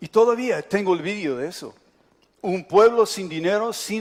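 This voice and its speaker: A man with an English accent talks with ordinary pitch variation. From United States. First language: English (speaking Spanish). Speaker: pastor. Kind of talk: sermon.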